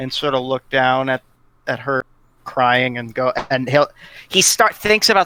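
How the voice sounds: What you hear is a natural reading voice.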